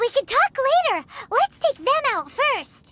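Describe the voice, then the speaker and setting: An extremely high-pitched, squeaky put-on character voice. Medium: video game. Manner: calm, practical.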